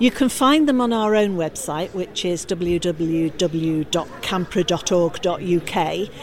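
Noticeable background noise sits behind a woman's medium-pitched voice. Her intonation is lively. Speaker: campaigner for a motorhome parking organisation. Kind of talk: interview answers at a show.

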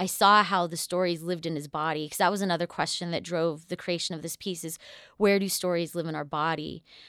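A woman with an American accent talks at a very fast pace in a fairly low pitch, her intonation monotone and flat, on a very clean recording with a silent background. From US Southwest (northern New Mexico). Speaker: dancer and choreographer, director of a dance company. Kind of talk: interview.

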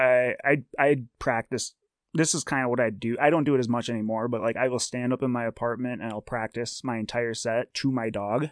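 A man with a normal speaking voice talks at a fairly quick pace, his medium pitch and fairly even intonation captured in a dry, close sound with no echo and a quiet background. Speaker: stand-up comedian. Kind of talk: casual chat.

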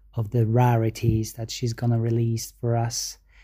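Somewhat breathy and dark and mellow in tone, a man speaks at a medium pitch with a Polish accent. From Poland. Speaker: listener sending voice message. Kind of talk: recorded voice message.

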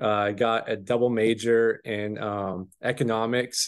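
With an American accent and an ordinary speaking voice, a man speaks at a fairly slow pace, medium pitch and fairly even intonation against a quiet background. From Washington State, US. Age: 20s. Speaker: farm operations manager. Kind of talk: casual chat.

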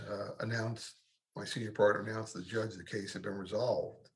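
A man with an American accent speaks at medium pitch in a somewhat breathy voice. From New York, Brooklyn. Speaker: medical malpractice trial lawyer. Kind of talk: interview. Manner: halting, repeats words.

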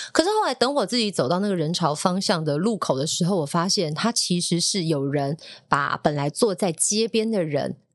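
Lively intonation marks this woman's fairly low-pitched, an ordinary speaking voice, delivered with hardly any pauses. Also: moderate pace. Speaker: radio DJ and podcast host. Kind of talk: casual chat.

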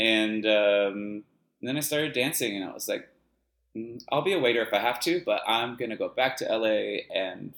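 This is a plain, everyday voice with an American accent and ordinary pitch variation. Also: man. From Los Angeles suburbs, US. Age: 40s. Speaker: dance teacher and choreographer. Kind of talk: casual chat. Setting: video call.

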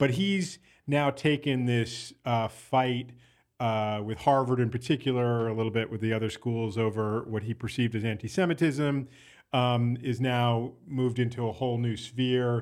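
This man has a medium pitch and ordinary pitch variation. He talks at a moderate pace in an ordinary speaking voice. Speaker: podcast producer and co-host. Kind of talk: casual chat. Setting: studio.

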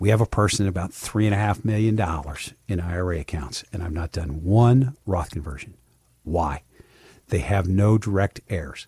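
The voice is somewhat breathy and dark, mellow in tone, moving at a fairly slow pace with ordinary pitch variation. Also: man, very deep, low pitch for a man. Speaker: financial advisor and radio show host. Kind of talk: radio talk show Q&A with a sales pitch. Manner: conversational, folksy.

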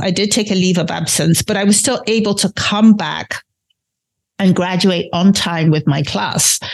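This woman's voice sits at a medium pitch, somewhat breathy, with ordinary pitch variation. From London and Nigeria. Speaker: podcast host. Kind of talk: solo podcast monologue.

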